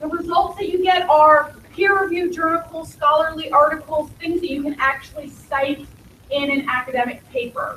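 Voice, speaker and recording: A woman uses a raised, projected voice at extremely high pitch, with ordinary pitch variation and a moderate pace. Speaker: school technology support staff. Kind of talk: orientation presentation.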